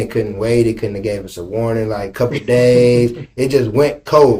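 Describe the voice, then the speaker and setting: Somewhat breathy and dark, with a mellow tone, a man talks at a medium pitch. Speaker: podcast host. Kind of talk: podcast interview, casual conversation.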